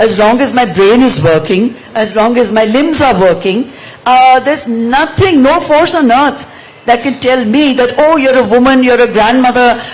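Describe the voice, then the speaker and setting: There is noticeable background noise as a woman speaks at a high pitch and a moderate pace with ordinary pitch variation. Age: 70s. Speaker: author. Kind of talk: panel discussion.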